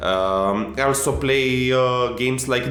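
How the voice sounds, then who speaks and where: Lively intonation from a man with an Eastern European accent. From Romania. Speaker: game director. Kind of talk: informal conversation.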